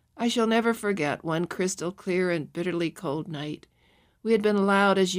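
Ordinary rises and falls of pitch in a natural reading voice

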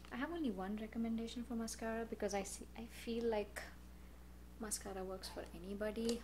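A woman's voice over noticeable background noise. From India. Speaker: beauty YouTuber; beauty vlogger. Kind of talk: product review vlog. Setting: home recording. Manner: casual, with filler words. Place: home room.

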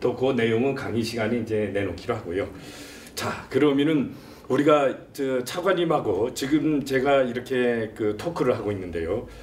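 A man's voice at a moderate pace, lively intonation, light background noise. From South Korea. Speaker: talk show host, professor. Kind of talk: interview. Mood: polite, warm. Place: office. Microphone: lapel.

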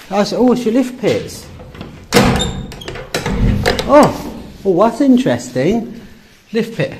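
Slowly and with big pitch swings, a man speaks high-pitched in a slightly mellow tone, with audible room echo.

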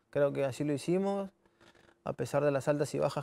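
A man speaks in a dark, mellow tone. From Peru. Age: 20s. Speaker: professional footballer. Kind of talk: interview. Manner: halting, many repetitions. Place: studio. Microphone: lapel.

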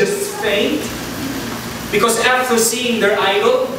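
An extremely high-pitched man at a fairly slow pace, with strong room echo and noticeable background noise. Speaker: preacher. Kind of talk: sermon. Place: church.

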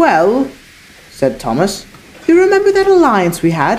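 Reading in an unforced voice

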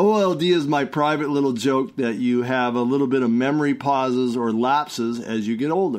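Hardly any pauses break up this fairly quick delivery in a normal speaking voice with ordinary pitch variation. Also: man, medium pitch for a man. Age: 60s. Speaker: herbal product maker and health talk host. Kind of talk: casual monologue.

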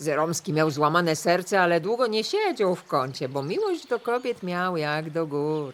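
A woman's fairly low-pitched, a normal speaking voice with lively intonation and hardly any pauses. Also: moderate pace. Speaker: voice-over reader. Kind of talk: folk-dialect storytelling podcast narration.

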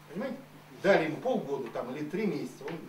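Light background noise and audible room echo accompany a man speaking with a high pitch. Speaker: politician. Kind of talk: public hearing Q&A answers. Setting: public hearing round table. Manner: animated. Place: meeting room. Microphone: podium.

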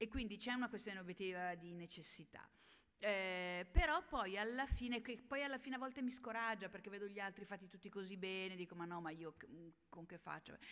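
A woman at a fairly quick pace, with big swings in loudness and ordinary pitch variation. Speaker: health journalist and science communicator; health journalist. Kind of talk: panel discussion. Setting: stage with audience. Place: hall. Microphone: podium.

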